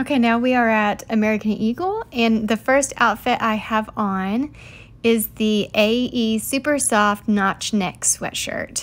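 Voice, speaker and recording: A woman speaks with a Tennessee accent at a fairly slow pace. Her loudness stays very even. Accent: Southern US (Tennessee). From US South, Tennessee (Chattanooga area). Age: 30s. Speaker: lifestyle vlogger; fashion vlogger. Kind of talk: casual vlog talk to camera. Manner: chatty, animated. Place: shop. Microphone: phone near.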